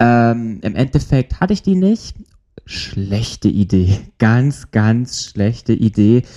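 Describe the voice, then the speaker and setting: At a very slow pace, a man talks with a dark, mellow tone, medium pitch, lively intonation and very even loudness. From Germany. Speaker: podcast co-host. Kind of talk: casual chat.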